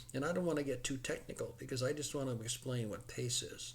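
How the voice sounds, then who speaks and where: With an American accent, a man speaks at a medium pitch. His voice is somewhat breathy. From US Midwest (Chicago suburbs, Illinois). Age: 70s. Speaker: horse racing enthusiast explaining betting. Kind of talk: casual explanatory monologue. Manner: halting, repeats words.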